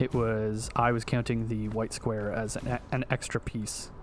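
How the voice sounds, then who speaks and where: A man speaks at a medium pitch while music plays in the background. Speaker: video game streamer. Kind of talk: gameplay livestream commentary.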